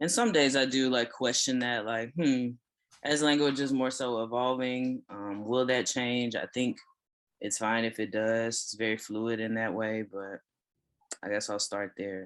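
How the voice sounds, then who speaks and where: A normal speaking voice with an American accent carries fairly even intonation. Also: man, medium pitch for a man. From Texas. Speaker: writer and consultant. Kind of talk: casual chat.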